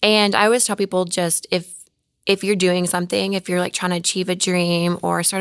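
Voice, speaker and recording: A woman speaks in an ordinary speaking voice at a fairly low pitch and moderate pace, with fairly even intonation, on a very clean recording with a silent background. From Oklahoma. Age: 30s. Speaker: fitness model. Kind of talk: casual chat.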